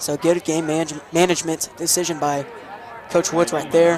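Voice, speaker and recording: A man with an American accent talks at a fairly quick pace and a fairly high pitch, his intonation monotone and flat. Noticeable background noise can be heard. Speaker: play-by-play sports commentator. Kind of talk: live commentary. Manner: fast.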